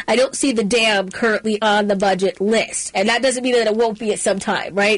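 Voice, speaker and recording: A woman with an American accent and a fairly high pitch, over noticeable background noise. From Maryland, Middle River. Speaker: talk radio host. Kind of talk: talk radio.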